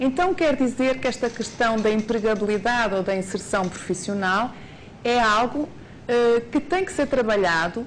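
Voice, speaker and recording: Her pitch fairly high and her intonation lively, a woman speaks fairly slowly while room echo is audible. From Portugal. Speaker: university lecturer. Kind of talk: lecture.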